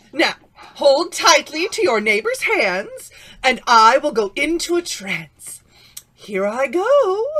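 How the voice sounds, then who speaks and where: A put-on character voice from a woman, pitched high, its pitch swinging very widely. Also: fairly slow pace. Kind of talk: 1940s radio acting. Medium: audio drama. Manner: bossy, pompous, fussy.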